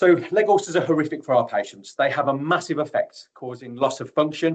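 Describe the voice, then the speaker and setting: A man with a Birmingham accent speaks with ordinary pitch variation. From Birmingham, England. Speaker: tissue viability nurse. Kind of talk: webinar presentation. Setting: online webinar.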